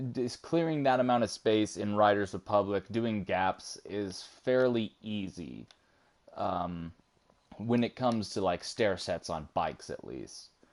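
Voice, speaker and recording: At a fairly slow pace, a man with a fairly low pitch and an unremarkable speaking voice uses lively intonation. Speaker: video game streamer. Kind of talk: casual chat.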